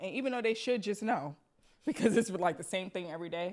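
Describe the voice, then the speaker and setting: Very fast speech from a woman with a New York accent. Her medium pitch shows ordinary variation. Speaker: podcast host. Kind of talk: casual chat.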